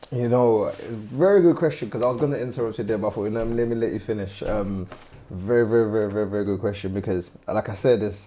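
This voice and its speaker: Talking at a very fast pace, a man shows a dark, mellow tone and ordinary pitch variation. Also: medium pitch for a man. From Nigeria, then London. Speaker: interview guest. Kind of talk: casual interview chat.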